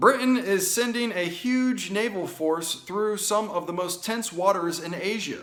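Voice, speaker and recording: Loud speech with an American accent comes at a fairly slow pace with hardly any pauses, in audible room echo. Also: man, high pitch for a man, ordinary pitch variation. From United States. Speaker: political commentary show host. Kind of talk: opinion commentary reading news articles. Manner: animated.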